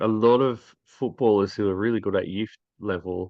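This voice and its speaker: With an Australian accent, a man speaks at a moderate pace in a fairly low pitch. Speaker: football interviewer. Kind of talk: interview.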